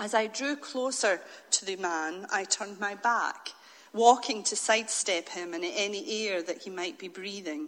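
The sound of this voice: An unforced reading voice is heard throughout.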